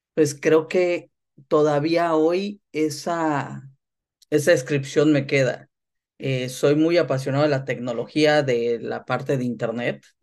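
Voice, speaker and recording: The pace is very slow, with fairly even intonation. The background is quiet. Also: man, fairly high pitch for a man. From northern Mexico, Tamaulipas. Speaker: sports business executive. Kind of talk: interview.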